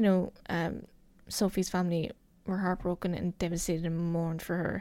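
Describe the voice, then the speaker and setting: This speaker talks with a Cork accent. The pace is moderate. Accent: Cork Irish. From Ireland, County Cork. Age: 20s. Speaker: podcast host. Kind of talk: true crime narration. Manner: casual, hesitant with fillers.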